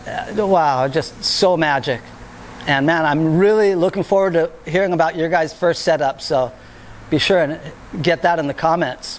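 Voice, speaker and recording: Over noticeable background noise, a man speaks in an animated tone at a moderate pace. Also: fairly high pitch for a man, ordinary pitch variation. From California, Santa Cruz. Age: 50s. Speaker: skateboarding video host. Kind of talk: casual monologue.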